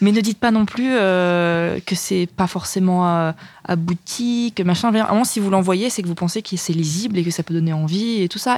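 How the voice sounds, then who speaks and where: Very clean recording with a silent background, featuring a woman in an ordinary speaking voice, medium pitch and ordinary pitch variation. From Burgundy, France (village near Dijon). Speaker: screenwriter. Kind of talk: casual chat.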